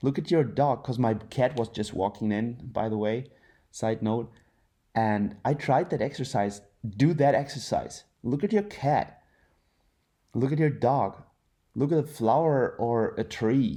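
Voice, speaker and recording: With a German accent, a man speaks in a dark, mellow tone with ordinary pitch variation, in a very clean recording with a silent background. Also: medium pitch for a man, fairly slow pace. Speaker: content creator, former professional athlete. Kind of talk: inspirational monologue then casual talk to camera. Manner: hesitant, many fillers.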